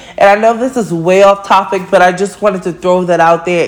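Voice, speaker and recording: Noticeable background noise sits behind the speaker. She is a woman of medium pitch with an animated tone. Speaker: podcast host. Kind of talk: casual monologue.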